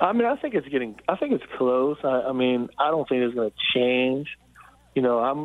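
A man speaks at a moderate pace in a plain, everyday voice, medium in pitch with ordinary pitch variation and very even loudness. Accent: American. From Frederick County, Maryland. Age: 50s. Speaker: high school football coach. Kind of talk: radio interview.

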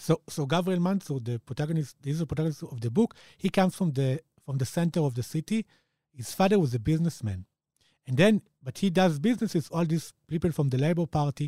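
Speaking very fast with an Israeli accent, a man has a dark, mellow tone and lively intonation. The sound is dry and close, with no echo. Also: fairly high pitch for a man. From Israel, Jerusalem. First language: Hebrew. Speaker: author. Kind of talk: interview.

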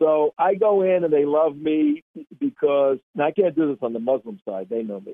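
A man with an American accent talks in an ordinary speaking voice. His pitch is fairly high and his pace moderate. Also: lively intonation. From New Jersey. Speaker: national security commentator. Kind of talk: political talk radio interview.

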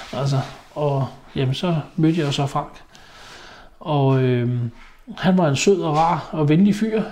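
Here a man speaks in a fairly high pitch. His pitch varies in an ordinary way. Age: 50s. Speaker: haulage business owner. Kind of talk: interview testimony. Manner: hesitant, many fillers.

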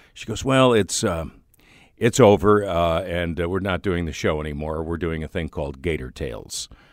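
A man's very deep, low voice with vocal fry, ordinary pitch variation and a moderate pace, on a very clean recording with a silent background. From Chicago area, Illinois. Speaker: radio host. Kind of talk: casual interview chat.

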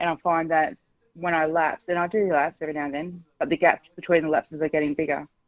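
A woman speaks with an Australian accent in a very deep, low pitch. Her intonation stays fairly even. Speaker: caller. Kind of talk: talkback call. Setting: phone call.

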